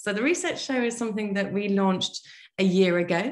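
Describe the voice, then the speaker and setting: At a fairly quick pace, a woman talks at medium pitch. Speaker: podcast host and team coach. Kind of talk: interview podcast. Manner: fast.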